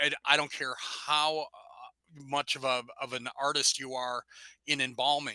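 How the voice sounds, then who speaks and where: A man speaks at a medium pitch with a bright, sharp tone. The sound is dry and close, with no echo. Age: 60s. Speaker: rock musician. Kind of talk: interview.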